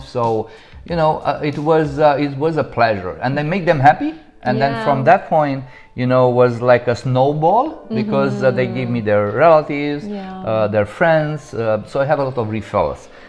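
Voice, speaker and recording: Music plays behind a man with a strong Romanian accent. His pitch is fairly high and his pace moderate. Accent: heavy Romanian. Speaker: real estate agent. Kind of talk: interview answer.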